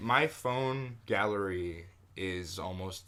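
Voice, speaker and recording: A loud man's voice, very deep and low in pitch, with a bright, sharp tone. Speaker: podcast co-host. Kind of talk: casual chat.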